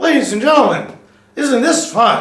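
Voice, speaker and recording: A high-pitched, put-on character voice comes through with a slight echo. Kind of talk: announcer-like. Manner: glum, flat, joyless.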